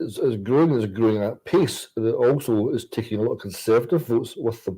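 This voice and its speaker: Speaking at a fairly quick pace with a Scottish accent, this dark, mellow voice shows ordinary pitch variation on a very clean recording with a silent background. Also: man, medium pitch for a man. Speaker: politician. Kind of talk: political talk show discussion. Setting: livestream from Westminster.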